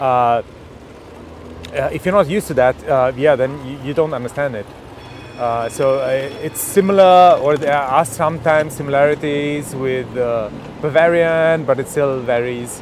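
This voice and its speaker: A man talks at a moderate speed against noticeable background noise. His voice sits fairly high and varies in pitch in an ordinary way. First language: German. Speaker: tech vlogger. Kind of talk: casual chat. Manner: halting, many fillers.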